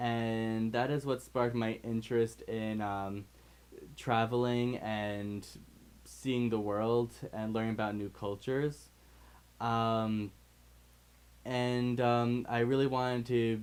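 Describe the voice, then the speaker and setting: Speaking very slowly in a US Northeastern accent, a man holds a medium pitch with monotone, flat intonation and long, frequent pauses. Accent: US Northeast. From New York State, US. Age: 20s. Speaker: English teacher abroad. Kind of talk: testimonial. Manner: halting, many fillers.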